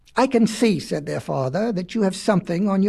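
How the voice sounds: Throughout the clip, the delivery is a natural reading voice.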